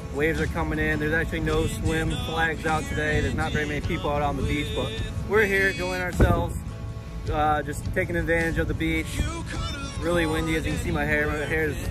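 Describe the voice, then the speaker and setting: Clear music plays in the background as a man talks at a very fast pace, the sound dry with no echo. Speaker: family vlogger. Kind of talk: casual vlog chat. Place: beach. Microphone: phone near.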